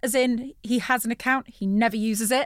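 A high-pitched woman with an English accent at a moderate pace, in a dry, close sound with no echo. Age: 40s. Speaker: former TV presenter and voiceover artist. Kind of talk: casual chat. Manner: animated.

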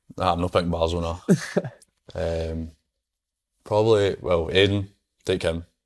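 Over a very clean recording with a silent background, a man with a very deep, low pitch speaks at a moderate pace in a monotone, flat intonation, leaving long, frequent pauses. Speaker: footballer. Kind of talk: casual chat.

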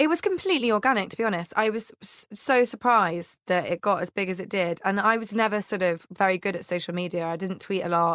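Talking at a very fast pace with hardly any pauses, a woman shows ordinary pitch variation in a dry, close sound with no echo on a very clean recording with a silent background. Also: medium pitch for a woman. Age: 20s. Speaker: comedian. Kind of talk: casual chat.

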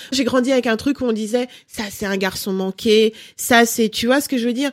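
A woman talks at a fairly quick pace in an ordinary speaking voice, fairly high in pitch with ordinary pitch variation. The sound is dry and close, with no echo. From Cameroon, raised in France from age five. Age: 30s. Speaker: lifestyle blogger and mother. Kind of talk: interview.

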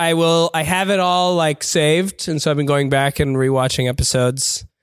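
In a normal speaking voice, a man with a fairly high pitch talks at a moderate pace with hardly any pauses, very even loudness and ordinary pitch variation, on a very clean recording with a silent background. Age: 30s. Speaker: comedian, guest podcast host. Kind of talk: casual chat.

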